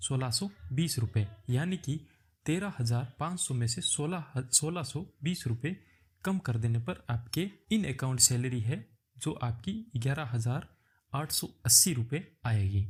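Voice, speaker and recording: A man talks with lively intonation. Music can be heard behind him. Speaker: YouTube job-prep tutor. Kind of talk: tutorial.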